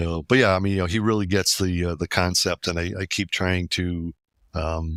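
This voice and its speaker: A man with a very deep, low pitch talks fairly quickly with fairly even intonation, his sound dry and close with no echo on a very clean recording with a silent background. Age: 60s. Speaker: website security expert. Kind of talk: casual chat.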